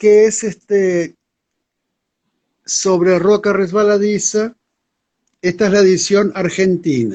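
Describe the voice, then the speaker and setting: A man with a high pitch talks at a very slow pace, leaving long, frequent pauses. His loudness stays very even. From Uruguay, Montevideo. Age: 70s. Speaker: poet. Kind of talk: interview.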